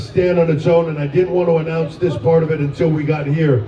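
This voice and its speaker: Noticeable background noise sits behind a man whose fairly high pitch holds a fairly even intonation. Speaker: wrestling executive. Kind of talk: public announcement speech.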